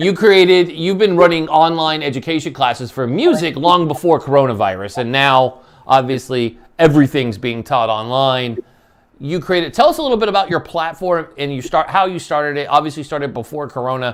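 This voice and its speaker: A man with a fairly high pitch, lively intonation and a fairly quick pace. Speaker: radio show host. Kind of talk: interview. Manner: halting.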